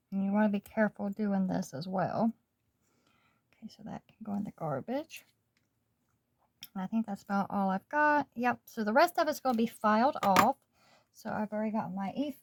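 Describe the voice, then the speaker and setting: A woman speaks at a moderate pace with a fairly high pitch and lively intonation. Her voice is somewhat breathy, with long, frequent pauses. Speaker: nail art youtuber. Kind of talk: tutorial. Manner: casual, hesitant with fillers.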